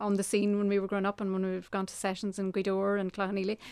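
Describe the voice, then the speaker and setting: This woman talks at a very fast pace in a Donegal accent. Her pitch sits in the medium range. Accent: Donegal Irish. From Ireland, County Donegal. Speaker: fiddle player and composer. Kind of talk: interview.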